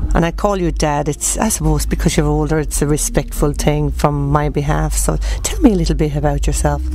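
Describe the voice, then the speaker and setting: With a Wexford Irish accent, a woman talks at a fairly quick pace with hardly any pauses, amid audible room echo and noticeable background noise. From Ireland, County Wexford. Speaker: radio host. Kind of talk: interview. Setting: at a country music festival.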